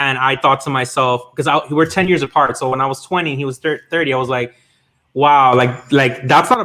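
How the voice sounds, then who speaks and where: Here a man talks in a plain, everyday voice. He keeps a fairly quick pace and fairly even intonation. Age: 30s. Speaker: toy collector. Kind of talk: casual chat. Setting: livestream.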